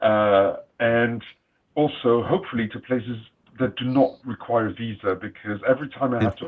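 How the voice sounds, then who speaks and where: A man talks at a moderate pace and a medium pitch, his pitch varying in an ordinary way. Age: 60s. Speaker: panelist, traveler. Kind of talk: panel discussion.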